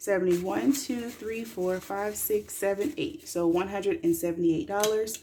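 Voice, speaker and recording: In a dark, mellow, somewhat breathy voice, a woman speaks fairly slowly with very wide pitch swings. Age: 20s. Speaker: mom and budgeting vlogger. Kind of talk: casual talk to camera. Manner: chatty, relaxed.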